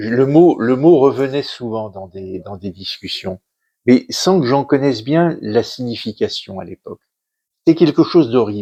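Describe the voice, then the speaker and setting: A medium-pitched man with a dark, mellow tone, lively intonation and a fairly slow pace. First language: Yiddish (speaking French). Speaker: author, son of a Holocaust survivor. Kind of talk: interview talk at a cultural centre conference. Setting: conference hall with audience. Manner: halting, many hesitations and repetitions.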